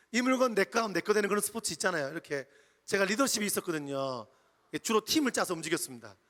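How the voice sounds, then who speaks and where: Very wide pitch swings at a very fast pace, the sound dry and close with no echo. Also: man, high pitch for a man. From Jeju Island, Korea. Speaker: pastor. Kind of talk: sermon. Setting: church retreat with audience.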